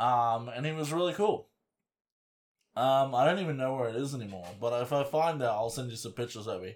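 Talking at a fairly quick pace, a man with an unremarkable speaking voice keeps a medium pitch and lively intonation. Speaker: podcast host. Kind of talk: casual banter, hobby chat. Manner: joking, bawdy.

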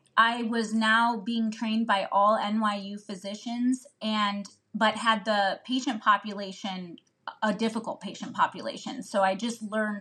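With a Midwestern American accent, a woman speaks in a bright, sharp tone. Her intonation is monotone and flat. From Northeast Ohio. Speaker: family physician. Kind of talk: casual chat.

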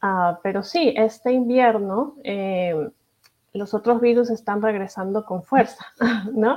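Her voice is a normal speaking voice, pitched fairly high for a woman, with ordinary pitch variation. She speaks at a fairly slow pace. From Peru. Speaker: pediatric infectious disease doctor. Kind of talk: interview.

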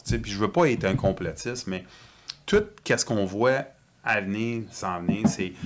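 Against noticeable background noise, a man speaks fairly slowly with ordinary pitch variation. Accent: Quebec. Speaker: whistleblower and industrial mechanic. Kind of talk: casual chat.

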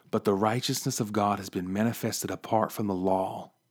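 Moderate pace, in a West Virginia accent. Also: man. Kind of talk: devotional podcast monologue. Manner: animated.

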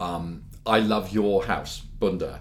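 There is audible room echo around a man's very deep, low voice. He sounds somewhat breathy. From London, England. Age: 50s. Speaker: pearl dealer. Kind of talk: interview.

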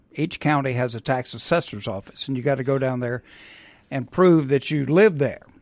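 A man with a Mississippi accent at medium pitch and a moderate pace, his pitch varying in an ordinary way, on a very clean recording with a silent background. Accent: Mississippi Southern. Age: 60s. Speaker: real estate investor. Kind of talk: radio interview. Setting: studio.

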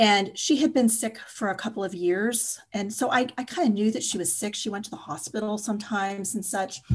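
Her voice sits fairly high and sounds somewhat breathy, with ordinary pitch variation. The woman talks at a fairly quick pace with hardly any pauses. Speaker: writer and energy healer. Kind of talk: personal testimony in interview.

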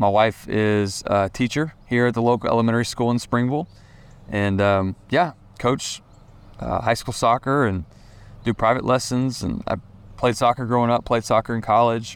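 A man with a Southern US accent speaks at a moderate pace and medium pitch. His intonation stays fairly even. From Tennessee, Franklin. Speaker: student pastor and children's author. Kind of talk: casual chat. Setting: outdoors.

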